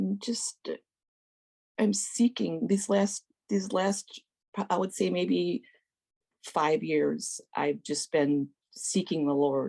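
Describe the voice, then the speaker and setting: A woman speaks at a very slow pace in a dark, mellow tone. The sound is dry and close, with no echo. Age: 60s. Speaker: guest sharing recovery story. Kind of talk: testimony. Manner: halting.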